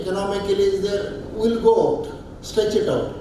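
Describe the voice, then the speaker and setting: Amid noticeable background noise and audible room echo, a man with a high pitch speaks at a moderate pace with fairly even intonation. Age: 60s. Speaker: senior alumni association member. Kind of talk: speech to alumni meeting. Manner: earnest, exhortative.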